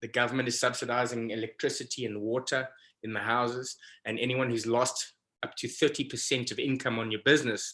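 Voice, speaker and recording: This man's tone is bright and sharp. He speaks at a fairly quick pace in a monotone, flat way. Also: medium pitch for a man. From South Africa. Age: 40s. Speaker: professional fishing guide. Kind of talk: casual interview.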